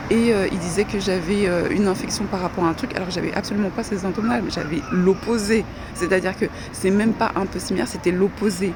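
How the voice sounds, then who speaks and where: A woman speaks at a very fast pace, her pitch medium. Noticeable background noise runs under her voice. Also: ordinary pitch variation. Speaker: vlogger. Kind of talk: casual monologue vlog. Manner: slurred articulation.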